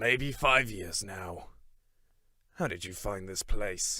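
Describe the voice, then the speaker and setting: A man's put-on, raspy character voice, fairly low in pitch and very slow. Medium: audio drama. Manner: blunt, combative.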